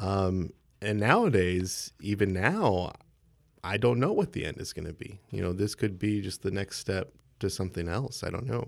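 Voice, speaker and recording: A man with an American accent has a plain, everyday voice with a fairly low pitch. He speaks at a moderate pace with ordinary pitch variation. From Texas (San Marcos). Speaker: software developer. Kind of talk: interview.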